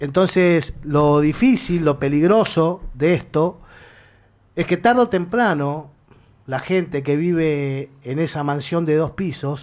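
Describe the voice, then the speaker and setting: Here a man talks at a fairly slow pace. His fairly high pitch shows ordinary variation. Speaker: radio host. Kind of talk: political talk radio discussion. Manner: emphatic, impassioned.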